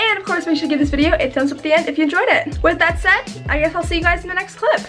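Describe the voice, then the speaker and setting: A woman talks at a very fast pace with an extremely high pitch and ordinary pitch variation. Faint music plays in the background. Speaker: vlogger. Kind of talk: casual vlog chat. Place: home room. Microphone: phone near.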